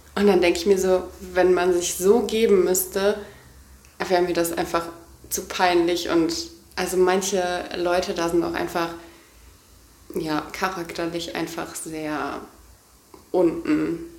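A woman speaks very slowly in a fairly low, monotone, flat voice, with long, frequent pauses. Noticeable background noise and audible room echo are present. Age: 20s. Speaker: podcast co-host. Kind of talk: casual chat. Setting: holiday apartment. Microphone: poor audio quality, noisy microphone.

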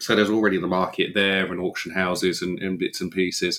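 Here a man speaks in a very deep, low voice. His intonation stays monotone and flat. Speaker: crypto podcast co-host. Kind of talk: casual chat. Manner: halting, repeats words.

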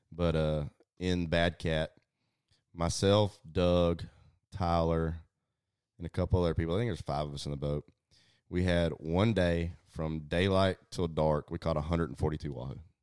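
A man with a Southeast Texas accent speaks at a very deep, low pitch and moderate pace, intonation fairly even, with long, frequent pauses. The recording is very clean, the background silent. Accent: Southeast Texas Southern US. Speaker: fishing pro staffer and hunter. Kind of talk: casual chat. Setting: home, over dinner and whiskey.

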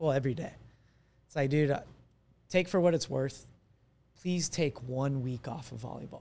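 An American accent in a dark, mellow tone, at a moderate pace, with long, frequent pauses, big swings in loudness and ordinary pitch variation. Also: man, fairly high pitch for a man. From Arizona. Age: 20s. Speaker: athletic trainer. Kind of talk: casual chat.

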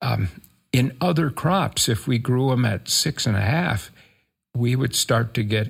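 A medium-pitched man with an American accent and vocal fry, at a fairly slow pace. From rural Minnesota. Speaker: crop scientist. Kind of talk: interview.

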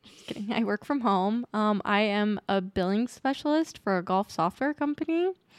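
A woman with an American accent speaks in a plain, everyday voice at a fairly high pitch and moderate pace, with lively intonation. Her loudness stays very even, and the sound is dry and close with no echo. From Utah, US. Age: 20s. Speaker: guest sharing infertility and miscarriage story. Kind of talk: casual interview.

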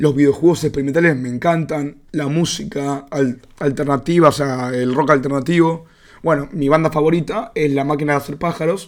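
The speaker is a man with a Rioplatense accent and a fairly high pitch. He keeps a moderate pace and fairly even intonation. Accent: Argentine Rioplatense Spanish. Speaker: podcaster. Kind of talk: casual monologue. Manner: mumbling.

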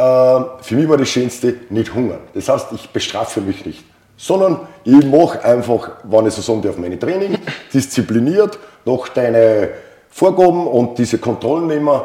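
Lively intonation marks this man's medium-pitched voice with an Austrian accent. He keeps a moderate pace over noticeable background noise. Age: 50s. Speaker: fitness coaching client. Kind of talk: interview testimony.

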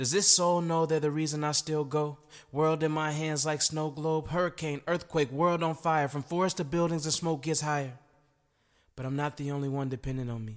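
With a plain, everyday voice, a man speaks at a fairly high pitch and a moderate pace, his intonation fairly even. The recording is very clean, with a silent background. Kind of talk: spoken word poem. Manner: rhythmic, rhyming, poetic cadence; earnest, reflective, building to a defiant close.

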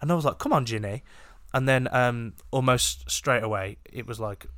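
A man with a British accent, fairly even intonation, and a very clean recording against a silent background. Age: 20s. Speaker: podcast co-host. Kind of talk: casual chat. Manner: joking, banter.

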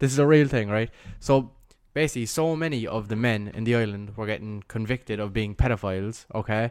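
On a very clean recording with a silent background, a man with a Cork accent talks at a fairly quick pace and medium pitch, with ordinary pitch variation. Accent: Cork Irish. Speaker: podcast co-host. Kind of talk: casual chat.

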